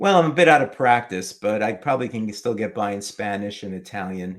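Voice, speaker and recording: With a New York accent, a man talks at a fairly quick pace, his medium pitch carrying lively intonation. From New York City, Manhattan. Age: old. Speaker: retiree, comic collector and YouTuber. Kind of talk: casual interview.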